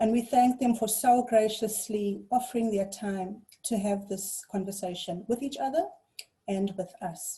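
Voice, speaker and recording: Fairly high in pitch and somewhat breathy, a woman's voice carries a dark, mellow tone, ordinary pitch variation and a fairly slow pace. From South Africa, KwaZulu-Natal North Coast. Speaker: webinar facilitator. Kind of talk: moderated panel introduction. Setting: video call.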